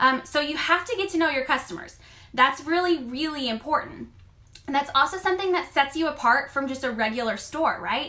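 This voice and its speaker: A woman with a high pitch speaks in a raised, projected voice with a bright, sharp and animated tone. Her pitch variation is ordinary. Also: fairly quick pace. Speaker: online clothing boutique stylist and seller. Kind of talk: live stream coaching talk. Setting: live video stream. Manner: loud.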